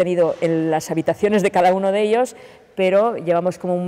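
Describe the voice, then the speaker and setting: The woman speaking has a fairly low pitch. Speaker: actress. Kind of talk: interview answer. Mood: earnest, reflective. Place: stage.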